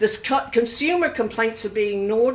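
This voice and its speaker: A woman with an Australian accent speaks at a moderate pace with ordinary pitch variation. Noticeable background noise can be heard. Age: 70s. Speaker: consumer advocate. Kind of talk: public talk. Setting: room with audience.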